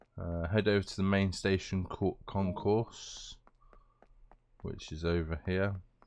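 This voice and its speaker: Very deep and low, a man's voice with a British accent moves at a fairly slow pace in a monotone, flat delivery broken by long, frequent pauses. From Britain. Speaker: gaming YouTuber. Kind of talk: gameplay commentary. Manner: casual, hesitant with many fillers.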